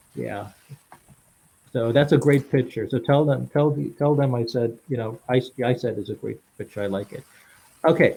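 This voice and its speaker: A man talks in a medium-pitched voice with vocal fry and ordinary pitch variation. His pace is moderate, with long, frequent pauses. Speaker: podcast host. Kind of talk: casual interview. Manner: halting.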